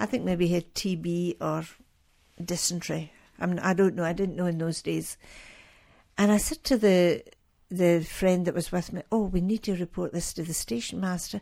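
A woman with a Scottish accent speaks at a moderate pace in a fairly low voice with a dark, mellow tone and fairly even intonation. She pauses long and often, and the recording is very clean with a silent background. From Scotland. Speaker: missionary nurse. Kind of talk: interview testimony. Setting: radio studio.

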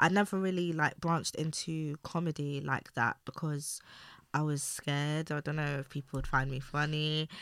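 On a very clean recording with a silent background, a woman speaks at a moderate pace in a very deep, low pitch with fairly even intonation. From East London, England. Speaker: influencer. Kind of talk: casual chat.

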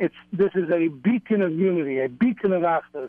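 Pitched high, a man's voice shows ordinary variation in pitch. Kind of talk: casual chat. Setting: phone call.

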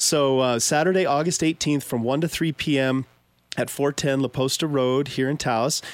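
In a normal speaking voice with an American accent, a man talks at a moderate pace and a fairly high pitch, with fairly even intonation and very even loudness, in a dry, close sound with no echo on a very clean recording with a silent background. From Pueblo, Colorado. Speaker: radio host, land trust staff. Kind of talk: community announcement; radio interview. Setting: radio studio.

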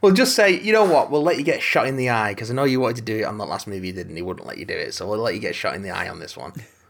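Talking at a very fast pace with hardly any pauses, a man with an English accent shows big swings in loudness. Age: 30s. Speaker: podcast co-host. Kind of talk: casual chat.

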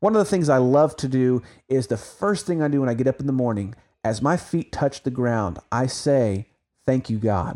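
A man with an American accent has a dark, mellow tone and lively intonation, captured on a very clean recording with a silent background and a dry, close sound with no echo. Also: medium pitch for a man, moderate pace. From Oklahoma. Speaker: Bible podcast host. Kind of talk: religious podcast discussion.

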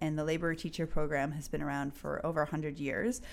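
A woman speaks with a Newfoundland accent. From Newfoundland, Canada. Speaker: activist and social entrepreneur. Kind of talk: interview conversation.

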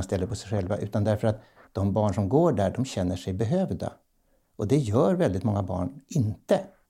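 Somewhat breathy and dark, mellow in tone, a man's voice moves at a fairly quick pace with ordinary pitch variation. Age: 70s. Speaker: professional clown and play advocate. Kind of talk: interview conversation. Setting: bakery, home recording.

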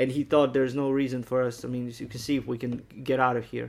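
In a flat, monotone voice of medium pitch, a man speaks at a fairly quick pace. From Bosnia. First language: Bosnian. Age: 30s. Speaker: Danish teacher and rapper. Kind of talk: interview testimony. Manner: halting.

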